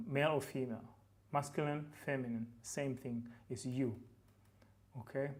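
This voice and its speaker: Speaking fairly slowly, a man with a West African accent has a fairly high pitch. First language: Fulfulde. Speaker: language teacher, YouTuber. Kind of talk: tutorial. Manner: casual, hesitant with fillers.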